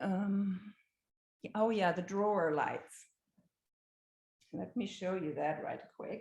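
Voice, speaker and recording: A somewhat breathy woman's voice at medium pitch, very slow, with fairly even intonation and long, frequent pauses. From Germany. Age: 60s. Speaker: homeowner. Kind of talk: home tour presentation. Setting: video call. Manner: halting.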